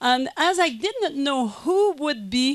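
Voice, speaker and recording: Dry and close with no echo, a woman's voice swings very widely in pitch, with a French Canadian accent. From Quebec. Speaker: conference speaker. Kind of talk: lecture. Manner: halting.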